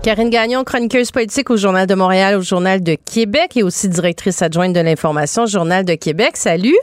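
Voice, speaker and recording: In an ordinary speaking voice, a woman talks at medium pitch with ordinary pitch variation, a fairly quick pace, hardly any pauses and very even loudness, on a very clean recording with a silent background and a dry, close sound with no echo. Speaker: radio host. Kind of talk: talk radio interview.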